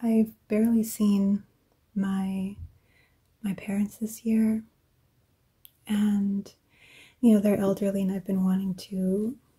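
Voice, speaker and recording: The speaker is soft-spoken, going at a very slow pace with long, frequent pauses. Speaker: ASMR creator. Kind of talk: ASMR soft-spoken journaling talk.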